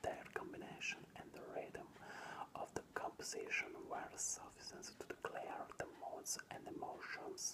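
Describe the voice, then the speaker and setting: Someone whispers in an Italian accent over noticeable background noise. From Italy. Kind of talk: ASMR whispered reading of an art book. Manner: whispered.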